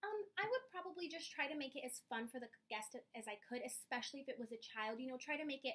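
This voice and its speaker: Loud and very fast, a woman talks in a high voice with a bright, sharp, bubbly tone. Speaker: job applicant, preschool teacher. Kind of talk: job interview. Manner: loud, bubbly.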